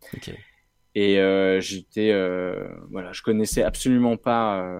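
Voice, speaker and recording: A man with a fairly low pitch speaks at a fairly slow pace in a monotone, flat intonation, recorded very cleanly against a silent background. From Brittany, France (Rennes). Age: 30s. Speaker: social entrepreneur, co-founder of a refugee incubator. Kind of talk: interview.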